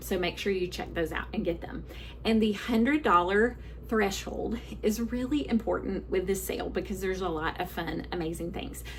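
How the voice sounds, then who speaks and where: A woman with a Southern US accent at a moderate pace, noticeable background noise behind her. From US South. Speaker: book sales consultant. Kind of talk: live sales presentation. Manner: halting.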